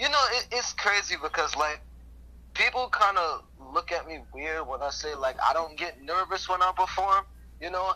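Lively intonation in a raised, projected voice, bright and sharp in tone, at a moderate pace with an American accent. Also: man, high pitch for a man. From Brooklyn, New York. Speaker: rapper. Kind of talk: interview.

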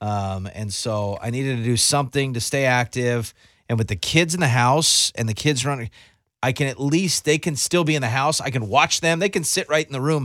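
With a normal speaking voice, a man at medium pitch talks at a fairly quick pace with lively intonation, in a dry, close, echo-free and very clean recording with a silent background. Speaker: radio host. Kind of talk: radio DJ patter, casual morning-show banter with a co-host. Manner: chatty, upbeat, easygoing; filler-heavy, rambling, jokey.

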